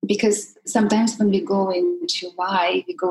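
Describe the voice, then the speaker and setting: A woman with a Russian accent and medium pitch makes very wide pitch swings while noticeable background noise plays behind her. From Russia, Siberia. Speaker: life coach. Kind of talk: interview.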